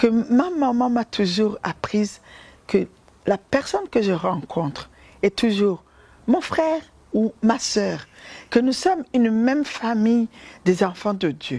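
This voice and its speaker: A woman with a Burundian accent speaks at a fairly high pitch with very wide pitch swings. Her pace is very slow, broken by long, frequent pauses. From Burundi, Ruyigi province. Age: 50s. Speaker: humanitarian founder. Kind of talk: testimony. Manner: hesitant, many fillers.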